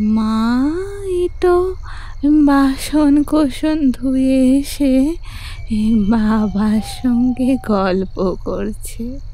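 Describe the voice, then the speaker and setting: In a shaky, put-on character voice, a woman speaks at a high pitch and a very slow pace. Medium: audio drama. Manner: halting, rambling, affectionate.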